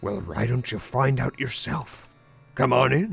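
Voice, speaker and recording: Faint music plays in the background as a man performs a put-on character voice. His pitch is medium and his pace moderate. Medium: game stream. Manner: folksy, easygoing.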